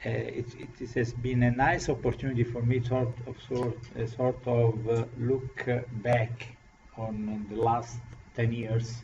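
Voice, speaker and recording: Noticeable background noise sits behind a man speaking with an Italian accent. His medium-pitched voice is monotone and flat at a fairly slow pace. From Italy. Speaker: professor. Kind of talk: lecture. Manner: halting.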